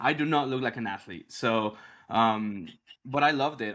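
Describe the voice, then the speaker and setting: Speaking at a moderate pace, a man talks with a Mexican accent. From Mexico City. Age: 30s. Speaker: grappling league founder. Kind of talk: interview. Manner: halting, many fillers and repeats; animated.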